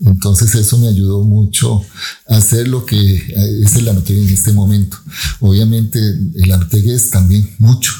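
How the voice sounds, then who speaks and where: A man speaks at a moderate pace with very even loudness and fairly even intonation. His voice is fairly low, somewhat breathy and dark and mellow in tone. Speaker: scientist. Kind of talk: interview.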